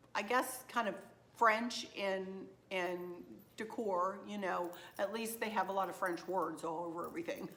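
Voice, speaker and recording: Moderate pace from a woman, noticeable background noise behind her. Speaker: craft and decor vlogger. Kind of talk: shopping haul vlog, casual chat. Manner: chatty, with fillers.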